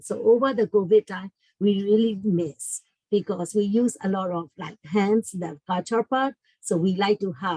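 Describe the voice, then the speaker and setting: A woman with a dark, mellow tone speaks at a medium pitch and a fairly slow pace, with ordinary pitch variation and a dry, close sound with no echo. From Burma. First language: Burmese. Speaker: school family engagement coordinator. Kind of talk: online workshop talk. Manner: halting.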